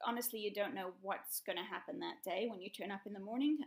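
Against a quiet background, a woman talks at a very fast pace. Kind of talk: interview answer. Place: home room. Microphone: webcam.

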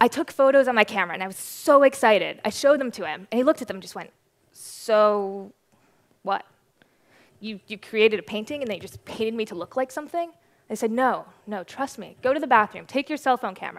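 A woman talks at a fairly quick pace with big swings in loudness. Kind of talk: conference talk storytelling. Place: stage. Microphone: headset.

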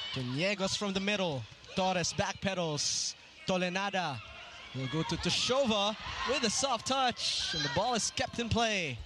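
An excited man speaks in a raised, projected voice at high pitch and a moderate pace. His pitch swings very widely over noticeable background noise. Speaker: volleyball play-by-play commentator. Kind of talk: live sports play-by-play commentary on a volleyball match. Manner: excited, laughing at standout plays.

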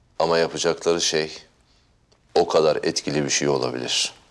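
The man speaks at a moderate pace. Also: very even loudness. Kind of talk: scripted drama dialogue, solemn speech. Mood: serious, resolute, grave.

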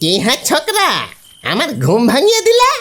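A put-on character voice is pitched high. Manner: scolding, irritated from being woken.

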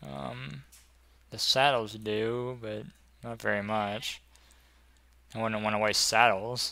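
Here a man speaks with a fairly low pitch and a bright, sharp tone. His pace is very slow, broken by long, frequent pauses. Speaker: gaming video creator. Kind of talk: let's play commentary. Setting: home recording. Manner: thinking aloud, hesitant.

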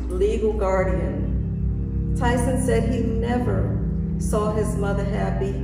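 A woman's voice amid loud background noise and audible room echo. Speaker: preacher. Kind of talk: sermon. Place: church. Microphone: podium.

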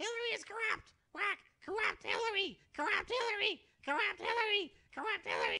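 Someone does a put-on character voice at a fairly quick pace. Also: female-sounding voice, extremely high pitch for a woman. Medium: comedy sketch. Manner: repetitive, squawking mimicry.

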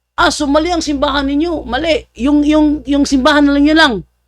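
This man sounds animated, his pitch extremely high and his pace fairly quick. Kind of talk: commentary vlog.

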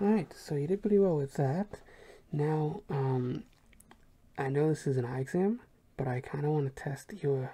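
This woman's voice is very deep and low, dark and mellow in tone. It is also somewhat breathy. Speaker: ASMR roleplay creator playing an eye and ear examiner. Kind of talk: ASMR roleplay, whispered eye and hearing exam for a listener. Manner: soft, whispering, slow and soothing; gentle and patient, repeating 'good' as reassurance.

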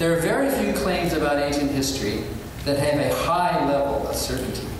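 Amid noticeable background noise and strong room echo, a man with a fairly high pitch speaks at a moderate pace with fairly even intonation. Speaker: atheist activist and author. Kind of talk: formal debate. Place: hall.

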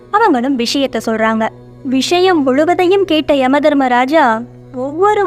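Against music in the background, a woman with a high voice speaks with lively intonation. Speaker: story narrator. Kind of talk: storytelling narration.

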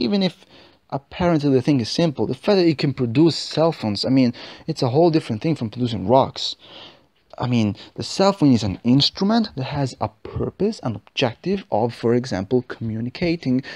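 Someone with a non-native accent talks at a fairly quick pace. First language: not English. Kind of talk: religious podcast reflection.

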